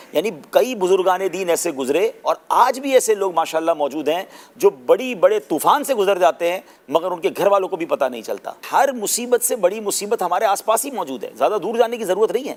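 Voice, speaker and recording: A man's high voice with lively intonation. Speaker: Islamic scholar and preacher. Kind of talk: Islamic sermon (bayan) in Urdu. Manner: conversational, explanatory.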